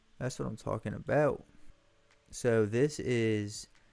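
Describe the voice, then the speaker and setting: Over music in the background, a man with an American accent speaks in an animated tone at a fairly low pitch. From US South. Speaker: gaming streamer. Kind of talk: let's play commentary. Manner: casual, animated.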